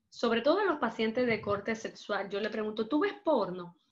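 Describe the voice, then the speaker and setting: With lively intonation, a woman talks at a high pitch. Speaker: psychologist. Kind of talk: lecture.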